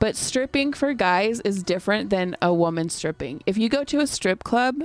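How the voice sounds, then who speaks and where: Here a woman with an ordinary speaking voice uses lively intonation at a moderate pace. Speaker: podcast host. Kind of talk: casual chat.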